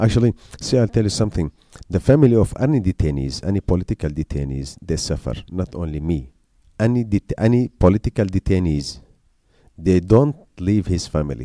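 A man with an Arabic accent, a very deep, low pitch and dark, mellow tone, at a fairly quick pace with very wide pitch swings, in a dry, close sound with no echo. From Syria. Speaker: journalist. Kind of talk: interview. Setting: school visit. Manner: halting.

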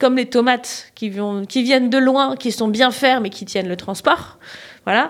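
Here a woman speaks in a high pitch with ordinary pitch variation. Her pace is fairly slow. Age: 40s. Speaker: organic cut-flower grower. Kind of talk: casual interview.

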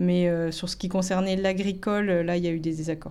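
The speaker is a woman with a medium pitch. Her intonation is monotone and flat. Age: 40s. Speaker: farmer and artisan baker. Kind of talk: testimony. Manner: halting, many hesitations.

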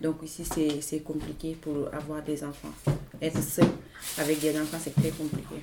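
A woman speaks with a very deep, low pitch at a moderate pace. Background noise is noticeable. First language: not French (speaking French). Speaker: migrant woman, language learner. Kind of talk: roundtable testimony.

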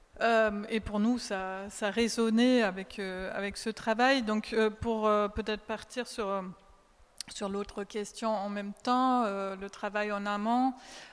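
Speaking at a very slow pace, a woman keeps a fairly high pitch. Her intonation is monotone and flat. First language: German (speaking French). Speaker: translator and sound artist. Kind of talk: public talk discussion.

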